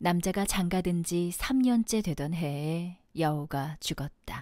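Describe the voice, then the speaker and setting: A woman speaks at a very slow pace with ordinary pitch variation, in a very clean recording with a silent background. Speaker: aspiring voice actor. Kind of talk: audiobook fiction reading.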